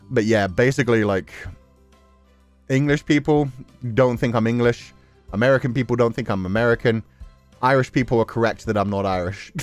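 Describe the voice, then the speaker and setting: With music in the background, a man of medium pitch talks at a fairly quick pace, using ordinary pitch variation and long, frequent pauses. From Belfast. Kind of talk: conversational.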